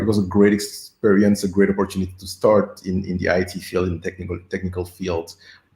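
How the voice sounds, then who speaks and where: Somewhat breathy and fairly low in pitch, a man speaks at a fairly quick pace. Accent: slight French. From Senegal. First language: French. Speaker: agile coach. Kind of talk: interview. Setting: live stream. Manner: halting, with repeated words.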